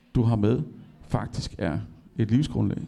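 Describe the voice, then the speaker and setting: A man's medium-pitched voice with vocal fry, a dark, mellow tone and a fairly slow pace. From Denmark, Esbjerg. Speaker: poet. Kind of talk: public conversation on stage. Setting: library stage with audience.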